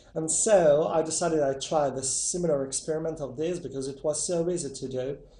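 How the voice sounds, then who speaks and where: Speaking at a fairly quick pace with hardly any pauses, a man with a fairly high pitch and fairly even intonation is heard with audible room echo. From Italy. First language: Italian. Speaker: YouTuber testing myths. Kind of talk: casual video intro. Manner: hesitant.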